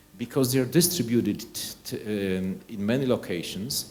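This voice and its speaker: In a Polish accent, a man with a medium pitch and a dark, mellow tone speaks at a moderate pace with lively intonation, and audible room echo surrounds his voice. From Poland. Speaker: nuclear energy researcher. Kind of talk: conference presentation. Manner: halting, with frequent repetitions.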